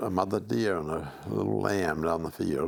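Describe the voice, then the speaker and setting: A man speaks with vocal fry. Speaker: retired school principal. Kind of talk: casual chat.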